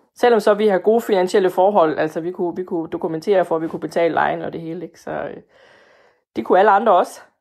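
At a very fast pace, a woman speaks at medium pitch with ordinary pitch variation and big swings in loudness. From Denmark, Fænø. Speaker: voter. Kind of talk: interview. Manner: hesitant.

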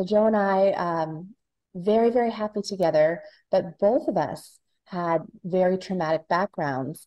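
At a fairly slow pace, a woman speaks in a normal speaking voice at a medium pitch with ordinary pitch variation. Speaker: author. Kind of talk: interview.

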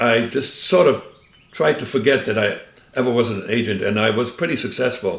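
Here a man speaks at a medium pitch. Noticeable background noise sits behind him. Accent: German. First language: German. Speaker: former spy. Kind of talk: interview.

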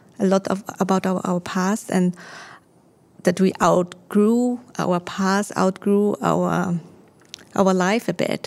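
At a very slow pace, a woman speaks at a medium pitch. Her intonation is monotone and flat. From Austria. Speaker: home organizing consultant. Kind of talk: casual interview. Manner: halting.

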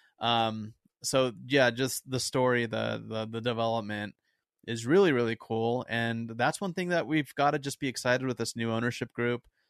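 A plain, everyday voice: a man at medium pitch, moderate pace and ordinary pitch variation against a quiet background. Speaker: podcast host. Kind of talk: casual chat.

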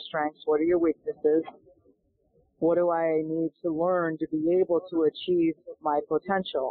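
At a moderate pace, a woman speaks in a fairly low pitch. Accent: American. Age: 60s. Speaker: golf instructor and pro golfer. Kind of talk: interview. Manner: animated.

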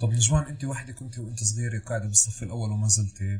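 A man speaks at a fairly quick pace. His voice is somewhat breathy and fairly low in pitch. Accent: Palestinian. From Palestine. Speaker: podcast host. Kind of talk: interview conversation.

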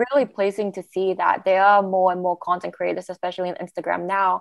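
Monotone and flat in intonation, a woman speaks at a fairly quick pace. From Malaysia. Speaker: podcast co-host. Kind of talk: casual discussion.

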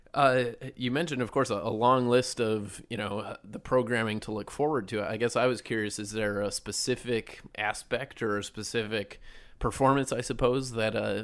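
A man speaks in a normal speaking voice at medium pitch and a moderate pace, with fairly even intonation, on a very clean recording with a silent background. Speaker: newspaper podcast host. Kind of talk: interview. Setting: studio.

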